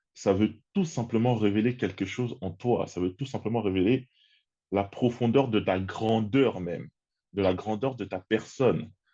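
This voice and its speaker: Against a quiet background, a man speaks slowly in a dark, mellow tone with ordinary pitch variation. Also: fairly low pitch for a man. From Congo-Kinshasa. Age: 30s. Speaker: personal development content creator. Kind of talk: interview conversation.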